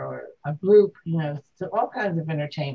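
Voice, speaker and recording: A woman with an American accent speaks at a moderate pace, her voice somewhat breathy with a dark, mellow tone. Her pitch is fairly low and her intonation lively. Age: 70s. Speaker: interviewee, retiree. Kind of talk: interview at home. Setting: in a home.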